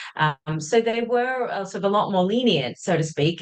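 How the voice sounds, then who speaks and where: Speaking at a fairly quick pace, a woman uses ordinary pitch variation in an Australian accent. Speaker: journalist. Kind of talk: interview.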